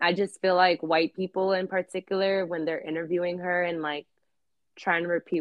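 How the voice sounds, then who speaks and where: Flat and monotone, the speaker talks at a fairly quick pace in a New York accent. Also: woman. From New York, Queens (Elmhurst). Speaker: actress and rapper. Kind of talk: casual interview chat. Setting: online call.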